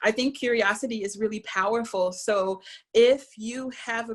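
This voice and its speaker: A woman has an ordinary speaking voice, fairly high in pitch. She talks at a moderate pace. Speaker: visual and performance artist. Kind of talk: lecture. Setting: video call.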